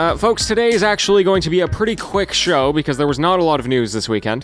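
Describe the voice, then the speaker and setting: With music in the background, a man speaks at a very fast pace in a high voice that makes very wide pitch swings. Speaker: gaming news host. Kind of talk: daily news show delivery. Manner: casual, conversational.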